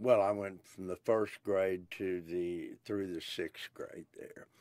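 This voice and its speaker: A man with an Oklahoma accent talks very slowly in a fairly low pitch. His intonation stays monotone and flat. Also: dry, close sound with no echo. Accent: Oklahoma Southern US. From Oklahoma (Pryor/Chouteau, Tulsa). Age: 70s. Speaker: blues musician. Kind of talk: interview. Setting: recording booth. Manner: hesitant, with many fillers.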